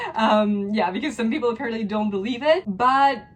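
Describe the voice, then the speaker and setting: Over noticeable background noise, a woman speaks at a fairly quick pace, her fairly high pitch showing ordinary variation. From France. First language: French. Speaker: lifestyle vlogger. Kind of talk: casual Q&A vlog. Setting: at home.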